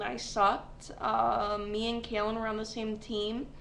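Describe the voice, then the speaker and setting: Someone with an upstate New York accent speaks at a very slow pace. Noticeable background noise and audible room echo fill the recording. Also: woman. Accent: upstate New York American. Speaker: vlogger. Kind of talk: casual webcam vlog. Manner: rambling with many fillers.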